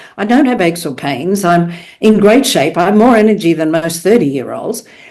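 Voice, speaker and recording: This woman's voice has a fairly low pitch. It moves in very wide pitch swings. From Australia. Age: 70s. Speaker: professional speaker. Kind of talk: podcast interview. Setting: podcast.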